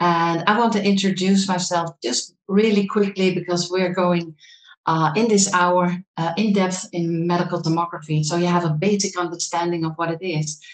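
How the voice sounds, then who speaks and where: A woman with a Dutch accent talks at a moderate pace in a fairly low pitch. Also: fairly even intonation. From Netherlands. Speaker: medical thermographer and trainer. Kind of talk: lecture. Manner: halting.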